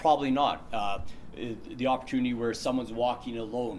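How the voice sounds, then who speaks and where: With a Canadian accent, a man talks fairly quickly in a medium-pitched, flat, monotone voice. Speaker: workplace safety trainer. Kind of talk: safety training presentation. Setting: presentation room, recorded on camera. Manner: fast.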